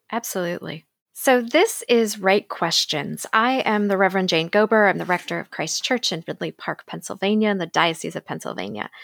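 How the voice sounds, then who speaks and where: A plain, everyday voice from a woman at medium pitch, fairly quick with hardly any pauses, ordinary pitch variation, a very clean recording with a silent background, and a dry, close sound with no echo. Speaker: church minister podcast host. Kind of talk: interview conversation.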